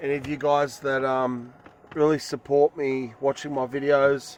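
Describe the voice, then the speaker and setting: This man has a medium-pitched voice and an Australian accent. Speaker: vlogger on bushcraft and spirituality. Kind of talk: casual vlog monologue. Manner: halting, many fillers.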